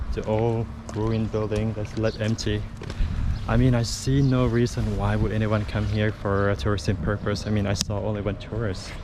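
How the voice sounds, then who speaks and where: Fairly low-pitched male speech with fairly even intonation at a moderate pace, against noticeable background noise. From Laos, Luang Prabang. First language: Lao. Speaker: travel vlogger. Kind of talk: travel vlog narration. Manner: casual, hesitant.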